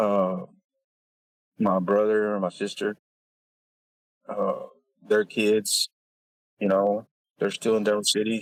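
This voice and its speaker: With a Texan accent, a man speaks at a fairly slow pace with long, frequent pauses and very even loudness, recorded with a dry, close sound and no echo. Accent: Texan American. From West Texas. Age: 40s. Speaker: oil field worker and father. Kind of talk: casual interview. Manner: halting.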